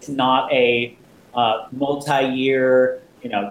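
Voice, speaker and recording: There is noticeable background noise as a man with an American accent talks at a very slow pace in a medium pitch. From New Jersey. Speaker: games convention founder. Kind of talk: interview.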